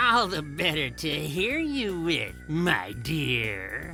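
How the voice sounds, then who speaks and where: Someone uses a put-on character voice at a middle pitch, speaking at a very slow pace. Clear music plays in the background. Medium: read story. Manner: sly, gloating.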